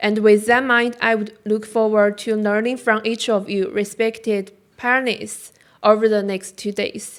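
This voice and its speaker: On a very clean recording with a silent background, a woman speaks in a Chinese accent. Her pitch is fairly high, her pace fairly slow and her intonation flat and monotone. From China. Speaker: graduate student. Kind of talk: conference talk. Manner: halting.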